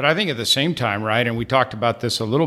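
A man talks with a Texan accent. His tone is bright and sharp. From Texas. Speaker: tech account executive. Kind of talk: casual industry discussion. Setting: studio.

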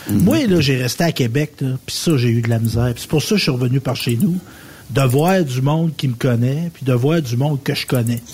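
A man with a medium-pitched, somewhat breathy voice talks at a moderate pace. His pitch variation is ordinary. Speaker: radio co-host. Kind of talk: casual chat.

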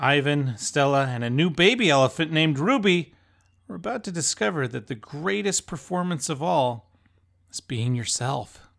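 A man's fairly high-pitched, unremarkable speaking voice, lively intonation and moderate pace, in a very clean recording with a silent background. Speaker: podcast host and film reviewer. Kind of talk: casual review discussion.

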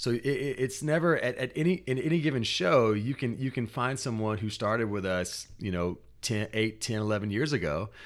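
Lively intonation runs through this man's medium-pitched voice at a fairly quick pace with hardly any pauses. The recording is very clean, with a silent background. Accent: American. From US South. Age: 30s. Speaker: spoken word artist. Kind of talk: interview. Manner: halting, many repeated words.

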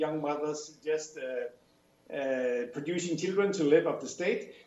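A man with a Danish accent, with audible room echo and noticeable background noise. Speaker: professor. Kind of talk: radio interview. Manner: halting, many fillers.

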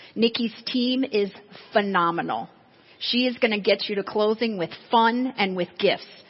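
A somewhat breathy voice, ordinary pitch variation, moderate pace. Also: woman. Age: 40s. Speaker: real estate agent and sales trainer. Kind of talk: seminar talk.

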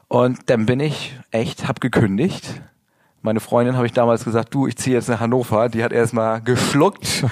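A normal speaking voice from a man, medium in pitch, fairly even in intonation and moderate in pace. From northern Germany, rural area between Bremen and Hamburg. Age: 40s. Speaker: model and Instagram coach. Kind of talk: interview. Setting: studio.

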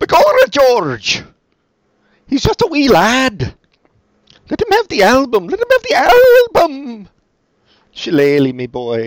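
A put-on character voice in an Irish accent, broken by long, frequent pauses. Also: fairly slow pace. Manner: comic, theatrical.

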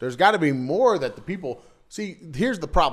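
Pitch swings very widely at a moderate pace. Vocal fry runs through the voice. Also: man. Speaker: podcast co-host. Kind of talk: casual chat. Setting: home studio. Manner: loud.

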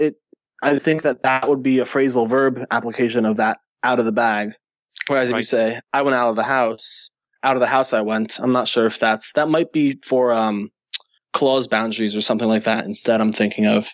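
A man's medium-pitched, normal speaking voice with an American accent, fairly quick pace, fairly even intonation and very even loudness. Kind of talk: casual podcast discussion. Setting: remote call.

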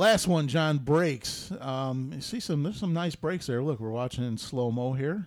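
Speaking with hardly any pauses, a man with an American accent uses a normal speaking voice, fairly high in pitch and lively in intonation. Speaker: podcast host. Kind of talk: casual chat.

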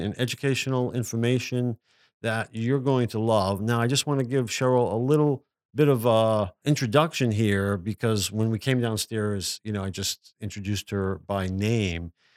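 On a very clean recording with a silent background and a dry, close sound with no echo, a man speaks at a moderate pace with a medium pitch and ordinary pitch variation. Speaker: podcast host and author. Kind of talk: casual conversation interview with a friend. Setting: recording at home, downstairs. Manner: starts off loud.

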